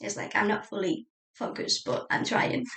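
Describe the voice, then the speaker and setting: A woman talks at a moderate pace with a Spanish accent. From Spain. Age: 30s. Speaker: journaling YouTuber. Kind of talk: casual chat. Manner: hesitant, many fillers.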